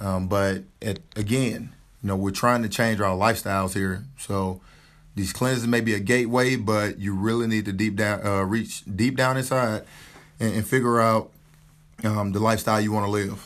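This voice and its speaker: With a Southern US accent, a man talks in a fairly low pitch using fairly even intonation. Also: moderate pace. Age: 30s. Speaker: army officer. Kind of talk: casual chat.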